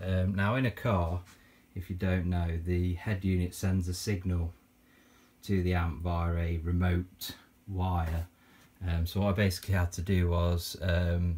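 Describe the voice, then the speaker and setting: The tone is dark and mellow, somewhat breathy. The pace is fairly slow, with monotone, flat intonation. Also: man. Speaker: retro gaming youtuber. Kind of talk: casual tutorial. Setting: home game room. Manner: halting, many fillers.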